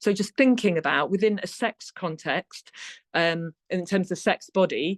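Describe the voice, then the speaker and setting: Against a quiet background, a woman speaks at a medium pitch with ordinary pitch variation, the sound dry and close with no echo. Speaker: secondary school teacher and education consultant. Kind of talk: webinar presentation. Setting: online webinar. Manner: fast.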